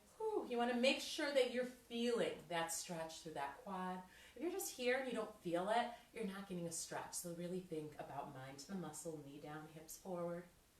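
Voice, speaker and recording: In a room with audible echo, a woman with an upbeat tone and a medium pitch talks at a moderate pace, her voice making very wide pitch swings and big swings in loudness. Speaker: fitness instructor. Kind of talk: workout instruction. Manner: upbeat, encouraging.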